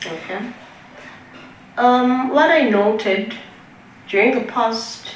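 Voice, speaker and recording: In a Swazi accent, a woman talks at a very slow pace, with audible room echo and noticeable background noise. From Eswatini. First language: siSwati. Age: 30s. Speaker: breast cancer survivor. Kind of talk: testimony.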